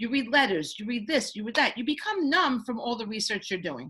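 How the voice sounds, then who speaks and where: With very wide pitch swings, a woman speaks in a raised, projected voice and an animated tone. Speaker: children's book author. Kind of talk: panel presentation. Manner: fast.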